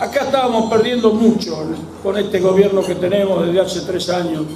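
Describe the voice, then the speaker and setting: A man talking at a fairly quick pace with fairly even intonation, noticeable background noise and audible room echo. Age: 70s. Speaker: evangelical pastor and former union member. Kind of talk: political rally speech.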